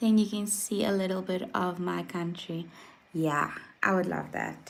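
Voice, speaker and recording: A woman at a fairly low pitch and fairly slow pace, monotone and flat in intonation, with audible room echo. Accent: South African. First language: Afrikaans. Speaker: vlogger. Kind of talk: casual chat. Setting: livestream. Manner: hesitant, many fillers.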